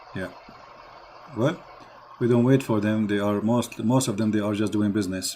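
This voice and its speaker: A man with a non-native accent speaks at a moderate pace, his pitch fairly low and his intonation fairly even. He leaves long, frequent pauses, with noticeable background noise behind him. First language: not English. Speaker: religious live-stream host. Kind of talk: live call-in show. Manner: halting.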